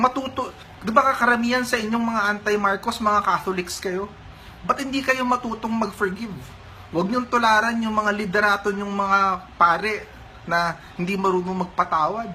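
A man speaks in a raised, projected voice, high in pitch and fairly even in intonation. Noticeable background noise runs beneath him. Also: moderate pace. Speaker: political commentator. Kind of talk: angry rant, heated political commentary. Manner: indignant, emphatic, scolding.

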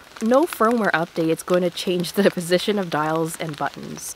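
Against noticeable background noise, a woman speaks at a moderate pace with fairly low pitch and fairly even intonation. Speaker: photographer. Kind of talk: casual vlog talk to camera while walking outdoors. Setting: outdoors.

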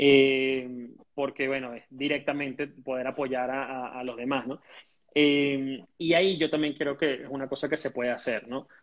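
Speaking fairly slowly with a Caracas accent, a man keeps a monotone, flat intonation. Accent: Venezuelan Spanish (Caracas). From Venezuela. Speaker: entrepreneur and teacher; teacher. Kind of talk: interview. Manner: halting, many fillers and repetitions. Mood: calm, hopeful. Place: home room. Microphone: earbuds.

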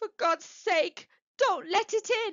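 A woman's put-on character voice, extremely high in pitch. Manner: pleading, frightened.

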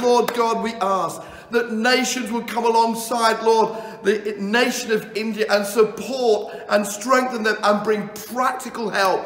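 A man talks at a fairly slow pace in a solemn tone, his intonation monotone and flat. Audible room echo surrounds his voice. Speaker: pastor. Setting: video message recorded for an Indian audience. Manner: earnest, heartfelt and solemn, with a rhythmic, imploring delivery. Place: home room.

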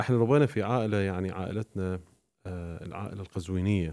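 Over a quiet background, a man with a fairly low pitch and a dark, mellow tone talks at a moderate pace with ordinary pitch variation. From Iraqi family, raised in Syria. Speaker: Shia preacher. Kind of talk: podcast interview. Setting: studio. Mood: calm, reflective storytelling. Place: studio. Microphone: studio mic.

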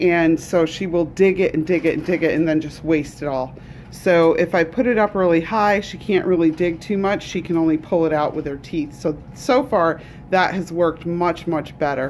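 A plain, everyday voice from a woman, fairly low in pitch with ordinary pitch variation, at a moderate pace over light background noise. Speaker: rabbit keeper. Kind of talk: casual vlog chat. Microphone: phone near.

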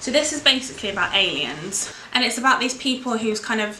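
Her pace moderate and her pitch variation ordinary, a woman speaks with audible room echo and light background noise. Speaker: book vlogger. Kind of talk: casual vlog chat. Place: home room. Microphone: camera far.

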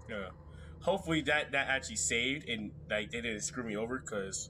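A man talks at a very fast pace with an animated, bright, sharp tone and vocal fry. His intonation is lively, and there is noticeable background noise. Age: 18, just out of school. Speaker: gamer streamer. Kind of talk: gameplay commentary. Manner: animated, excitable reactions. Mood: frustrated, joking. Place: home room.

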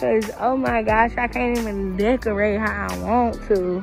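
A woman's very slow speech, dry with no echo, with clear music in the background. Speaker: vlogger. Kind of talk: casual vlog chat. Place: shop. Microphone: phone near.

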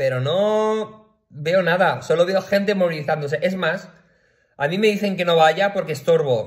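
High male voice at a moderate pace. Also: quiet background. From Valencia region, Spain (Picanya, L'Horta Sud). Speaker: video blogger. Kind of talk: personal rant to camera. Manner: animated, with frequent fillers and repetitions. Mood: worried, indignant, upset. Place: home room. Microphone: phone near.

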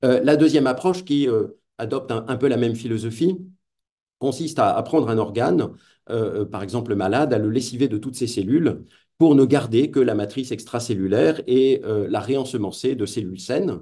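A man's dark, mellow voice at a moderate pace, with ordinary pitch variation and a quiet background. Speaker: philosopher of technology, lecturer; lecturer. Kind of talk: lecture. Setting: video call. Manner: hesitant, many fillers. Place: home room. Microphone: webcam.

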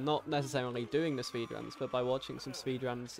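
Against noticeable background noise, a man with a British accent speaks at a medium pitch and moderate pace, keeping his intonation fairly even. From Britain. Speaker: video game speedrunner streamer. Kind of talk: live gameplay commentary. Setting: live stream. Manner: casual with frequent fillers.

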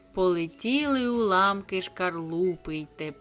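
The clip carries an unforced reading voice.

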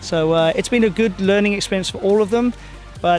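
A man speaks in a dry sound with no echo, as faint music plays in the background. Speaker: swim team coach. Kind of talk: interview answer. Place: waterside. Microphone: handheld.

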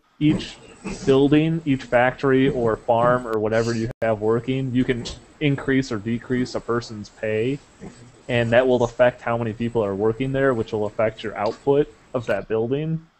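A plain, everyday voice, a man's at a medium pitch, proceeds at a moderate pace over light background noise. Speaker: podcast host. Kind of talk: casual chat. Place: home room. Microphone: headset.

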